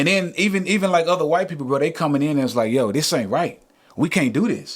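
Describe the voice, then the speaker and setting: Here a man with an American accent speaks at a very fast pace. His pitch is fairly high. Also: lively intonation. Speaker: musician. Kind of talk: casual podcast conversation. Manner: animated.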